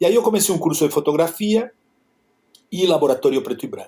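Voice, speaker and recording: Lively intonation marks this man's speech. He talks in a Spanish accent. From Argentina, Buenos Aires. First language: Spanish (speaking Portuguese). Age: 60s. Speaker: photographer. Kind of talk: interview. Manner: halting.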